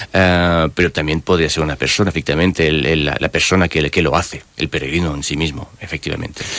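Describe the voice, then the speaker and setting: A man with a very deep, low pitch speaks at a very fast pace in a monotone, flat delivery with hardly any pauses, over noticeable background noise. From France. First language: French (speaking Spanish). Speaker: author and personal development coach. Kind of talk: radio interview. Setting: radio studio. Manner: halting.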